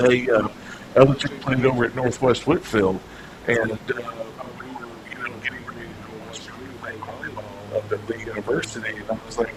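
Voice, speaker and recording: With a flat, monotone delivery, a man speaks at a moderate pace, his loudness swinging widely against noticeable background noise. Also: medium pitch for a man. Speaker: sports talk radio host. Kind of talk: sports talk radio conversation. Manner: conversational, reminiscing.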